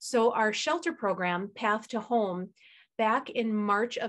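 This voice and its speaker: With an American accent, a woman speaks at a fairly slow pace with ordinary pitch variation against a quiet background. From US Midwest. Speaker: shelter executive director; guest. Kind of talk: presentation. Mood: earnest, concerned. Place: home room. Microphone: video call.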